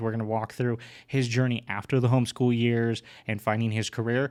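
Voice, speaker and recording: In an ordinary speaking voice, a man with an American accent talks at a fairly quick pace and medium pitch. The recording is very clean, with a silent background. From California. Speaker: podcast host. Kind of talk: podcast intro. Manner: upbeat.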